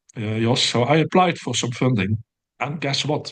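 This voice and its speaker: A man with a Dutch accent, fairly slow pace and lively intonation. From Netherlands, near the German border. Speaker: professor and systematic review researcher. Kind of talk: interview. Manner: hesitant with many fillers.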